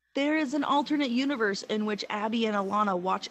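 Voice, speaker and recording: A woman with an American accent and an ordinary speaking voice, fairly high in pitch, with lively intonation at a moderate pace. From Appalachian South (US). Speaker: podcast co-host. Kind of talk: casual chat.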